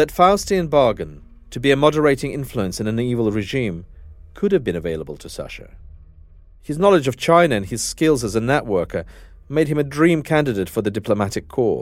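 Over music in the background, a man talks fairly quickly with very wide pitch swings. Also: medium pitch for a man. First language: Russian. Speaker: journalist and podcast host. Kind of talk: narrated documentary.

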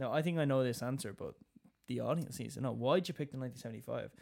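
A man with a Dublin accent, talking at a very fast pace. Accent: Dublin Irish. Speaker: musical theatre actor. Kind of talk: casual chat.

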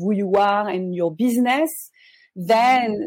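The speaker talks in a French accent with ordinary pitch variation. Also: woman. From France. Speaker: life coach. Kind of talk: casual interview. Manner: hesitant, many fillers.

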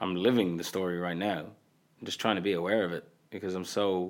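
Someone speaks at a moderate pace with an Irish accent. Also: man. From Qatar. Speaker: comedian and creator. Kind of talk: casual chat. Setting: studio.

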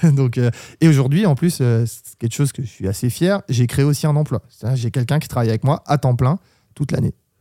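Dry and close with no echo, a man's dark, mellow voice at medium pitch moves at a fairly quick pace with ordinary pitch variation. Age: 30s. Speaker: club DJ. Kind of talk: interview. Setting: studio.

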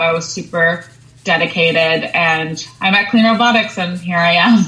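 Over noticeable background noise, a woman with an American accent speaks at medium pitch with ordinary pitch variation. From Long Island, New York. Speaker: sustainability professional at a robotics startup. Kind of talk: interview.

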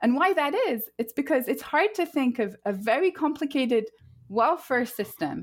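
In a French accent, a woman with a high pitch and very wide pitch swings speaks at a moderate pace on a very clean recording with a silent background. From France. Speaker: professor of public policy. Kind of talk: podcast interview.

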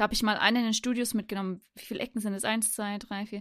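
In a very clean recording with a silent background, a woman of medium pitch talks in an unremarkable speaking voice with fairly even intonation. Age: 30s. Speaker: podcast co-host. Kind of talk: casual chat.

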